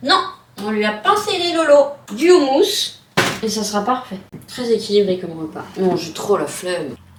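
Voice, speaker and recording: A woman's fairly high, playful voice at a fairly slow pace, with very wide pitch swings, big swings in loudness, long, frequent pauses and noticeable background noise. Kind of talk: casual vlog talk to camera. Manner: playful, talking to her dog.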